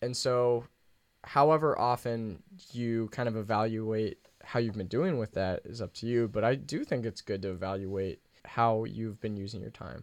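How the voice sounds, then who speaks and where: A man speaks at medium pitch and a moderate pace in a normal speaking voice. The background is quiet. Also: ordinary pitch variation. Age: 20s. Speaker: podcast co-host. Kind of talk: casual chat.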